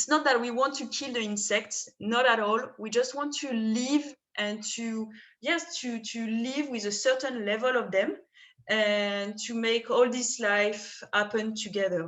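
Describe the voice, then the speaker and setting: A woman with a French accent speaks at a fairly slow pace. Her pitch is fairly high. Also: ordinary pitch variation. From France, southern Rhône. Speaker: winemaker. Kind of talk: wine tasting presentation.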